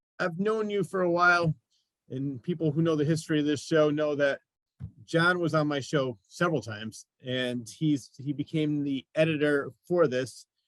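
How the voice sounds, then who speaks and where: A man talks in a normal speaking voice at a moderate pace, fairly high in pitch with ordinary pitch variation. The sound is dry and close, with no echo. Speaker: talk show host. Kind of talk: interview question.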